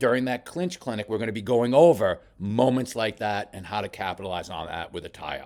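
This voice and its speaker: Animated and fast-moving, a man at medium pitch talks at a fairly quick pace with hardly any pauses, lively intonation and big swings in loudness, all in a very clean recording with a silent background. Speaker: boxing coach. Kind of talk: film study commentary.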